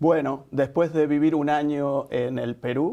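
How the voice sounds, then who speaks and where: With an Argentine accent, a man speaks at a fairly slow pace in a dark, mellow tone and fairly even intonation. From Argentina. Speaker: nonprofit executive director. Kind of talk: interview.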